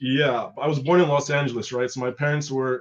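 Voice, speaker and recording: Medium in pitch, a man with an American accent speaks with fairly even intonation. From rural Oregon, US. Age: 30s. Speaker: guest, window cleaner in Japan. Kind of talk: casual chat.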